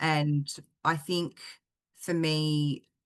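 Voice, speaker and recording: Over a quiet background, a woman with an Australian accent speaks in a flat monotone at a very deep, low pitch. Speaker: singer-songwriter. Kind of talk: interview answer.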